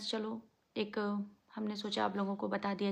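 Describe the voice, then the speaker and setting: This woman is soft-spoken, with a medium pitch and a monotone, flat intonation. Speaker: family vlogger. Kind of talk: vlog, casual talk to viewers. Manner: speaking softly.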